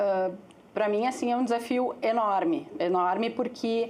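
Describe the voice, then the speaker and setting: The voice has a calm tone and lively intonation at a fairly slow pace. Audible room echo surrounds it. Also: woman. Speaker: agency executive. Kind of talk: panel talk.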